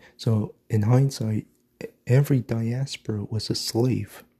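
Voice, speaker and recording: A man's medium-pitched, somewhat breathy voice with a dark, mellow tone, dry and close with no echo, on a very clean recording with a silent background. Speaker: video blogger. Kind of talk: angry ranting monologue, conspiratorial and insistent. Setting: morning solo recording. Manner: emphatic, repetitive, hammering points with 'mark my fucking words'.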